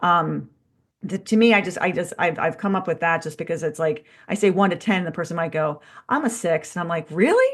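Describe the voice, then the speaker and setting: A somewhat breathy woman's voice at a fairly quick pace against a quiet background. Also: fairly low pitch for a woman, ordinary pitch variation. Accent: American. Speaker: strength coach. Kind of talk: casual podcast chat.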